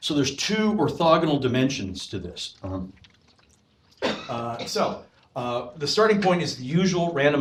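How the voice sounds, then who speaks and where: Over noticeable background noise, a man talks at a fairly slow pace with lively intonation. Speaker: professor. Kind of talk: lecture. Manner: loud; halting.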